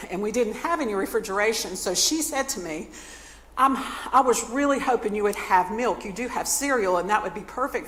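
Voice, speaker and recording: Amid noticeable background noise, a woman with an American accent speaks at a fairly quick pace with lively intonation. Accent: Southern US, stronger when talking fast. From North Carolina. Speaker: nonprofit speaker, former church music minister. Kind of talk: talk to a community audience.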